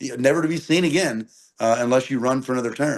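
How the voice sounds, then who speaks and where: Ordinary pitch variation marks a man talking at a very fast pace. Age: 30s. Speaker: political candidate. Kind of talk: interview. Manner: animated.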